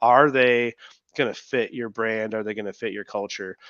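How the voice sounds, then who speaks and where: The sound is close and dry, without any echo. A man talks in a medium pitch. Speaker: business owner who sold his company. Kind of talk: webinar interview. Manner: loud, boisterous; casual, filler-heavy.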